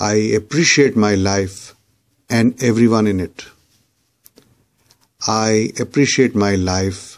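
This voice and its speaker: This man talks at a very slow pace with long, frequent pauses. His pitch is fairly low and his intonation fairly even. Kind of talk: spoken affirmations, repeat-after-me guided meditation.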